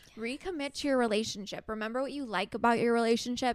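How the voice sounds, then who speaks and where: The recording is very clean, with a silent background. Pitch varies in an ordinary way. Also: woman. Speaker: astrology podcast co-host. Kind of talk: casual chat.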